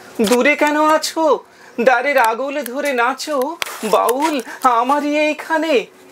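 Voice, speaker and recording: Over noticeable background noise, a man speaks. His pitch is extremely high, with fairly even intonation. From West Bengal, India. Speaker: reciter and audio drama performer. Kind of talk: poetry reading.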